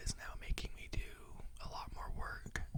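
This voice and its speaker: Someone whispers in a relaxed tone at a fairly slow pace, with noticeable background noise behind them. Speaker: teacher. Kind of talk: ASMR whisper ramble, casual talk to camera. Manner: whispered, relaxed, rambling.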